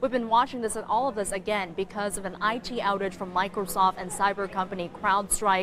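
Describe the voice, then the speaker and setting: This woman has a normal speaking voice with an American accent and a medium pitch. Her intonation is fairly even, her pace fairly quick, with hardly any pauses. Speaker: news anchor and reporter. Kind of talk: TV news anchor/reporter delivery. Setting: field reporter voiceover.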